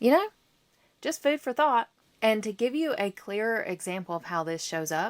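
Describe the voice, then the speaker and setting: In a very clean recording with a silent background and a dry, close sound with no echo, a woman speaks at a fairly high pitch with very wide pitch swings. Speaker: therapist and podcast host. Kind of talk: solo podcast talk. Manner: slow; casual, chatty.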